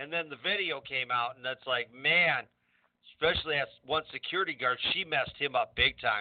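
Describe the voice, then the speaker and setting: An ordinary speaking voice, male and fairly high-pitched, at a moderate speed with ordinary pitch variation. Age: 60s. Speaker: wrestling referee and radio co-host. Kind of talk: casual chat.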